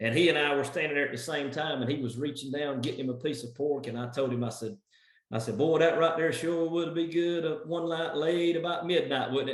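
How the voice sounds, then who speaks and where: A man with an American accent and an ordinary speaking voice talks at a fairly quick pace with ordinary pitch variation. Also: fairly high pitch for a man. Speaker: benefit and charity gala auctioneer. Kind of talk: casual interview answer, storytelling.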